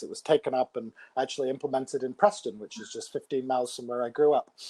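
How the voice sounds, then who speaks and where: The voice has a dark, mellow tone in a dry, close sound with no echo. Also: man. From northern England (Blackburn, Lancashire). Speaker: think tank researcher and author. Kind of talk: Q&A discussion.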